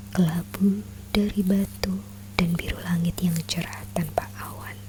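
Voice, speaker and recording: Soft-spoken and calm, a woman talks very slowly at a fairly low pitch with very wide pitch swings, against noticeable background noise. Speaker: ASMR content creator. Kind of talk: soft-spoken ASMR book reading, religious storytelling. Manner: soft-spoken, calm.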